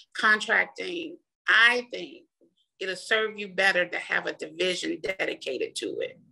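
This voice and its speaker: This woman keeps a moderate pace while her volume rises and falls in big swings. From Mississippi, US South. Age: 40s. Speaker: small business owner, contractor. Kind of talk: interview.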